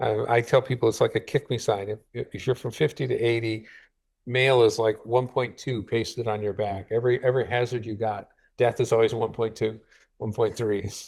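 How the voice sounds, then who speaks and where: Against a silent background in a very clean recording, a man speaks somewhat breathily at a fairly quick pace with monotone, flat intonation. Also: medium pitch for a man. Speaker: biostatistics professor giving a seminar talk. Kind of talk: lecture. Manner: fast; halting, with frequent repetitions.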